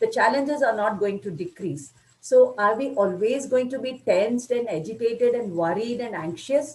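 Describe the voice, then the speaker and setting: A woman with an Indian accent speaks at a moderate pace. Her fairly high voice has lively intonation. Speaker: spiritual lecturer. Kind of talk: lecture. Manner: good flow, clear.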